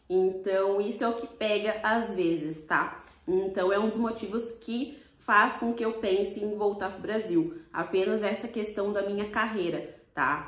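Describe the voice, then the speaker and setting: Audible room echo surrounds this voice with a Brazilian accent. The pace is fairly slow, with ordinary pitch variation. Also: woman, medium pitch for a woman. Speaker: vlogger. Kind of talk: casual vlog talk to camera.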